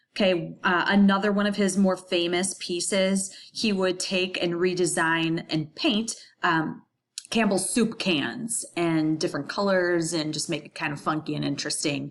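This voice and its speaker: Her pace moderate and her pitch fairly low, a woman talks with ordinary pitch variation. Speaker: high school graphic design teacher. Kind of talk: recorded lesson tutorial. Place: home room. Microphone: webcam.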